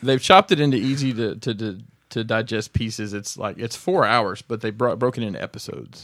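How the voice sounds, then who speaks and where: With an unremarkable speaking voice, a man of medium pitch talks at a fairly quick pace and with ordinary pitch variation. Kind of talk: casual chat.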